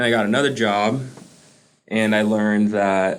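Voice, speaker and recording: A man with a fairly low voice talks at a moderate pace, his words carrying audible room echo. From US, Caribbean immigrant family. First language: Spanish. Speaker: student veteran. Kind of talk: interview.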